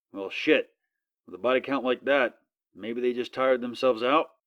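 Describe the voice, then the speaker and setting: In a put-on character voice, a man speaks fairly quickly with a raspy sound at a medium pitch. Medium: read story. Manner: sharp, sardonic.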